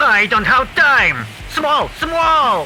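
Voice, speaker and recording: This is a put-on character voice at a high pitch. Clear background noise can be heard. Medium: audio drama.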